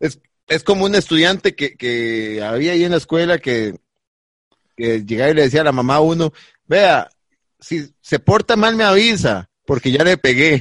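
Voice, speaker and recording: In a Costa Rican accent, a man speaks with an animated tone and a fairly high pitch that swings very widely. The sound is dry and close, with no echo. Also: moderate pace. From Costa Rica, Palmares. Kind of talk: casual comedic chat, live-streamed.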